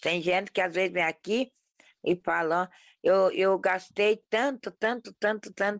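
A woman's plain, everyday voice at a fairly slow pace with ordinary pitch variation. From interior of Paraná, Brazil. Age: 50s. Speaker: folk healer. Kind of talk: interview testimony.

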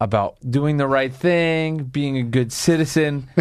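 Against a quiet background, a man with a plain, everyday voice speaks at a medium pitch and a fairly slow pace. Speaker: podcast host. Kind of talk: casual chat. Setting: studio.

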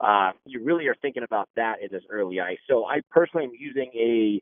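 Here a man talks at a fairly quick pace with lively intonation. It is a plain, everyday voice. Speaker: hunting and fishing guide. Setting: phone call outdoors. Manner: casual, conversational.

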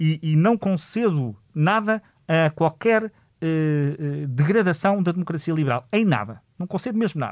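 Against a silent background in a very clean recording, a man with a fairly high pitch speaks at a fairly slow pace with lively intonation. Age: 40s. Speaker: politician and lawyer, author. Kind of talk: interview.

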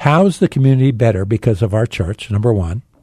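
Speaking at a fairly quick pace, a man's somewhat breathy voice has a dark, mellow tone and lively intonation. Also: dry, close sound with no echo. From Phoenix, Arizona. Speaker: pastor. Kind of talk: interview.

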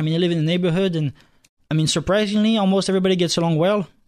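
A man speaks in a French accent with ordinary pitch variation. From France, Nice. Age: 20s. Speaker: university student, club president. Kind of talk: talk radio interview. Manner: fast; halting.

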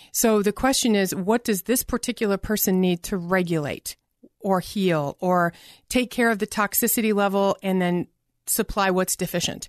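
Against a quiet background, a woman talks in a normal speaking voice at medium pitch and a moderate pace. Her pitch varies in an ordinary way while her loudness stays very even. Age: 50s. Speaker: natural medicine doctor. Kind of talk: interview.

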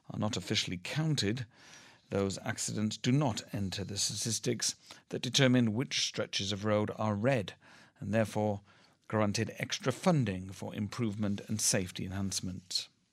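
Recorded very cleanly against a silent background, a man speaks in a normal speaking voice, fairly low in pitch with ordinary variation, at a moderate pace. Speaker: radio newsreader. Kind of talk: newsreading: scripted, formal radio bulletin read steadily and evenly. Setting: studio. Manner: formal, measured, neutral and steady pace.

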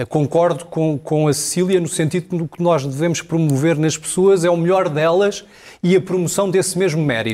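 A man speaks in a high, dark and mellow voice. His pitch moves in an ordinary way, at a moderate pace. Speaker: political commentator. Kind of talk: televised political debate.

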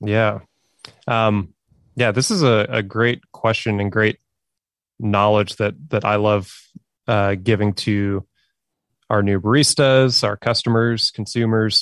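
A man with an American accent speaks at a very slow pace with long, frequent pauses, using a fairly low pitch and fairly even intonation. The sound is dry and close with no echo, over a quiet background. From Oklahoma. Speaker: coffee professional. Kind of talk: casual educational chat.

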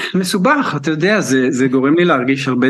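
Behind this man there is noticeable noise. His pitch varies in an ordinary way. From Israel. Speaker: choreographer. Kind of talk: radio interview. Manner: halting.

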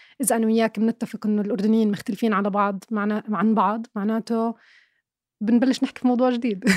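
This woman's fairly high voice comes at a fairly quick pace in a monotone, flat intonation, with a dry, close sound with no echo on a very clean recording with a silent background. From Jordan, Irbid. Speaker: film and TV critic. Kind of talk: casual interview.

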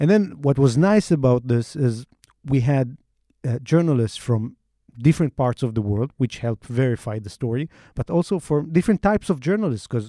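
A man with an Israeli accent speaks in a dark, mellow tone with lively intonation, the sound dry and close with no echo. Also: medium pitch for a man, moderate pace, very clean recording, silent background. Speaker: investigative reporter. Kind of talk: interview. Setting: studio.

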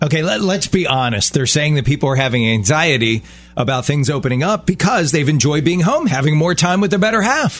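Against noticeable background noise, a man with a fairly high voice talks at a fairly quick pace, his loudness very even and his intonation lively. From Baltimore. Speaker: radio host. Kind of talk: casual chat. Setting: studio.

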